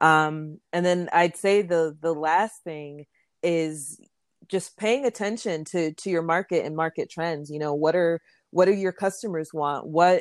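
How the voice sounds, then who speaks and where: Very slow and with fairly even intonation, a woman with a fairly low pitch speaks on a very clean recording with a silent background, the sound dry and close with no echo. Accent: American. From Florida, US, Jamaican parents. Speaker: fashion entrepreneur. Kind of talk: interview.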